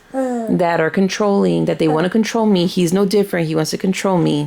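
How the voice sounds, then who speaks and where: A woman at medium pitch over noticeable background noise. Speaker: tarot reader. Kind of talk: casual talk to camera.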